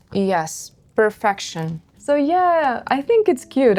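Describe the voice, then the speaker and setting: A woman is speaking. She has a Russian accent. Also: very clean recording, silent background. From northern Russia, Murmansk. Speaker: craft youtuber. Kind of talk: casual chat.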